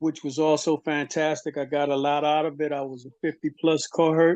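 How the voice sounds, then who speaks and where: A man's normal speaking voice, fairly high in pitch, at a moderate pace. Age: 60s. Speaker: webinar attendee, HIV survivor. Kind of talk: webinar Q&A comment.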